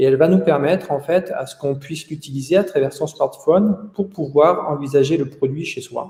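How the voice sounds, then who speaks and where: A man's somewhat breathy voice with a dark, mellow tone, ordinary pitch variation and a moderate pace. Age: 40s. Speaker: company founder. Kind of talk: interview. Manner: hesitant, frequent 'euh' fillers.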